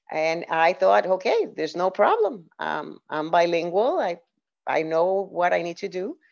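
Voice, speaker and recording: Speaking fairly slowly in a Puerto Rican accent, a woman has a fairly low pitch and ordinary pitch variation. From Puerto Rico. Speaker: diversity and inclusion leader and author. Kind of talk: podcast interview.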